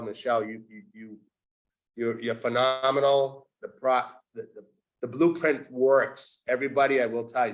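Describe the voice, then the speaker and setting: This is a man with a normal speaking voice. His pitch is medium and his intonation fairly even. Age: 60s. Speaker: community member. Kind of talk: testimony. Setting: video call.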